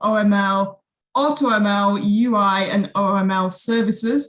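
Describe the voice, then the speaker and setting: A woman with a British accent sounds somewhat breathy. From UK. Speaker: webinar host. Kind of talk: live webinar introduction. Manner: casual, relaxed.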